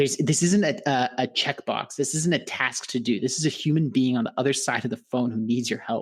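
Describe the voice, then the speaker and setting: Speaking at a fairly quick pace with hardly any pauses, a man keeps a medium pitch and ordinary pitch variation. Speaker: business coach. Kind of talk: interview. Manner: fast.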